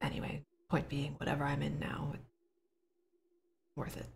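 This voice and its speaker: In a put-on character voice, the speaker sounds raspy at a low-to-middle pitch and keeps a moderate pace. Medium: actual play. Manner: reflective, earnest.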